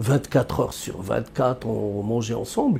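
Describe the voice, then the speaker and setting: Somewhat breathy and dark, mellow in tone, a man's medium-pitched voice moves at a fairly slow pace. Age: 60s. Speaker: economist. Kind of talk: interview. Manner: halting, many repetitions.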